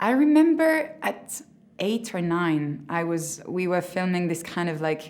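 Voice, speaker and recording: Speaking at a fairly slow pace, a woman talks in a French accent. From France. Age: 20s. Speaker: drama school graduate actor. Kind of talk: interview. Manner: halting.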